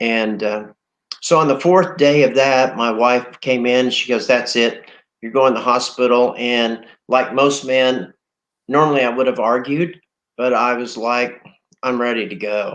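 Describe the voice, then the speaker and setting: This man has an unremarkable speaking voice at medium pitch. He speaks at a fairly slow pace with fairly even intonation. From Oklahoma. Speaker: COVID-19 survivor. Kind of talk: interview testimony.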